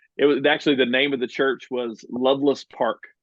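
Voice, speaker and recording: A man speaks with a Southern US accent. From US South, central Alabama near Birmingham. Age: 40s. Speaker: church partnerships director at a charity. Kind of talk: podcast interview.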